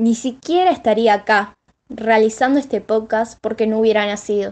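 With a normal speaking voice, a woman speaks at a moderate pace and a fairly high pitch. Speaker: university student. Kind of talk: scripted narration.

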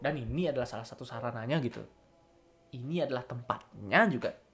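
A man with a Balinese accent, medium pitch and ordinary pitch variation. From Bali, Singaraja. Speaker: university student podcaster. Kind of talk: casual monologue voice note. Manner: unscripted, hesitant.

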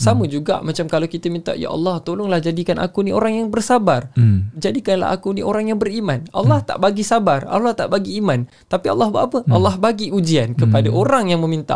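This man talks at a very fast pace with hardly any pauses. His voice is high for a man and swings very widely in pitch. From Sabah, Malaysia. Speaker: motivational speaker and part-time imam. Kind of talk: casual religious talk. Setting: studio.

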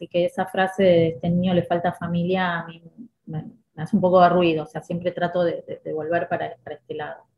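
Somewhat breathy and fairly quick, the speech carries a Rioplatense accent and a monotone, flat intonation. Loudness swings widely throughout. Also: woman, fairly low pitch for a woman. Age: 50s. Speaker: school director and educator. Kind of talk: podcast interview.

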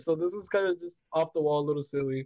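The man's voice shows ordinary pitch variation. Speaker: podcast co-host. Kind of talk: casual chat.

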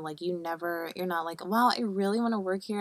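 An ordinary speaking voice from a woman with an American accent, medium in pitch, ordinary in pitch variation and moderate in pace, on a very clean recording over a silent background. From Buffalo, New York. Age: 20s. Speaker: podcast co-host. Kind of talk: casual chat.

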